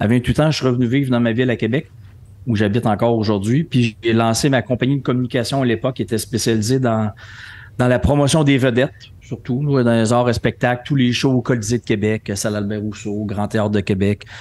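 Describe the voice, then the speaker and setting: Talking at a fairly quick pace, a man uses a plain, everyday voice with fairly even intonation. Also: medium pitch for a man. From Quebec City, Quebec. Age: 50s. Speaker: entrepreneur and speaker. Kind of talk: podcast interview.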